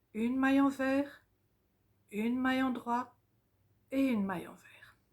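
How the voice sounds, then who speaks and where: In a high voice, a woman speaks with fairly even intonation. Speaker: knitting teacher. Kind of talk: tutorial. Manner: slow, dictation pace.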